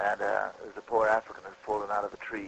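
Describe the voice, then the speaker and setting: His pitch is fairly low for a man. He speaks very fast. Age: 50s. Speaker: reptile wrangler for film. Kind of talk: casual interview.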